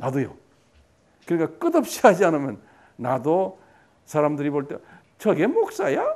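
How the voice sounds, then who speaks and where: A man's fairly high-pitched voice. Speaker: pastor. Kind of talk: lecture. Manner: conversational, repetitive fillers.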